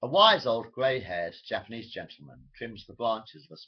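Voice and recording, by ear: Someone reads aloud. The voice sounds natural.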